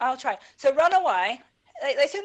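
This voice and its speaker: In a Northern Irish accent, a woman speaks with very wide pitch swings. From Northern Ireland. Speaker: esports podcast co-host. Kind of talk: casual esports podcast chat.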